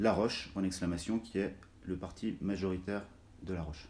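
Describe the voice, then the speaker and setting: A man with a very deep, low pitch and a dark, mellow tone talks at a moderate pace. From France, Haute-Savoie (Arve valley, Cluses). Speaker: documentary filmmaker. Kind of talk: interview. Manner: hesitant, many filler sounds.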